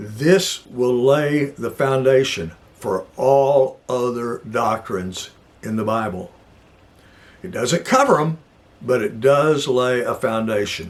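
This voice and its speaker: Intonation from this man is lively. His pace, though, is very slow. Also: medium pitch for a man. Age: 70s. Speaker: Bible teacher. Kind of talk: teaching talk. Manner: casual, rambling.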